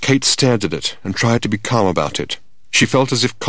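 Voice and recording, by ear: A natural voice reading aloud, pitch varying in an ordinary way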